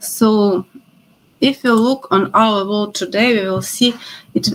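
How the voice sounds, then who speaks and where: A woman with a Ukrainian accent speaks at a medium pitch with ordinary pitch variation. Noticeable background noise sits behind her. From Ukraine. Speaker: professor. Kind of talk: lecture. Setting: video call. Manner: halting.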